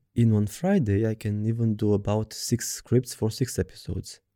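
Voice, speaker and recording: A man with a Romanian accent talks at a moderate pace in a dark, mellow tone on a very clean recording with a silent background. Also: dry, close sound with no echo. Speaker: pet portrait artist and podcaster. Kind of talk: scripted solo podcast monologue. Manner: reading from a script.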